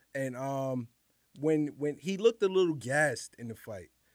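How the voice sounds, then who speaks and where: A man with a New York accent talks at a moderate pace in a fairly high pitch, with lively intonation. The sound is dry and close, with no echo. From New York City, the Bronx (Highbridge). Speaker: professional fighter. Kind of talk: casual chat.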